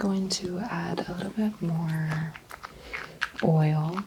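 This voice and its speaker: Soft-spoken and fairly low, a woman talks at a very slow pace with fairly even intonation over noticeable background noise. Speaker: ASMR role-play chiropractor / doctor. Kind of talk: soft-spoken ASMR role play exam.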